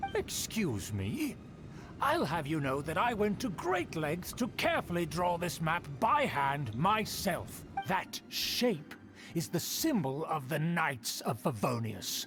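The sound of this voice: A put-on character voice at a slow pace, fairly bright in tone, with big pitch swings and faint music in the background. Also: man, fairly high pitch for a man.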